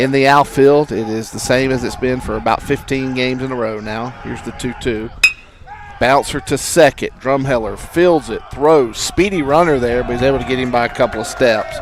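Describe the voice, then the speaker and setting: Over noticeable background noise, a speaker with a Southern US accent talks at a moderate pace with fairly even intonation. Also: man, medium pitch for a man. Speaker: baseball play-by-play announcer. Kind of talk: live sports commentary. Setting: school baseball game stream.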